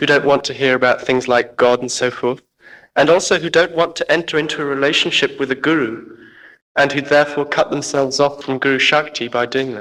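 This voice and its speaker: In a very clean recording with a silent background, a man speaks at a fairly quick pace with a bright, sharp tone and fairly even intonation. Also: fairly high pitch for a man. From Oxford, England. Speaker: audience member. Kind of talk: question from audience.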